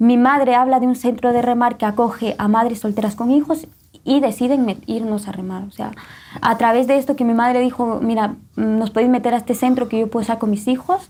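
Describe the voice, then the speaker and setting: A woman's fairly high voice with a dark, mellow tone, fairly quick pace and fairly even intonation. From Guatemala. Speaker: testimony guest. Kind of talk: testimony.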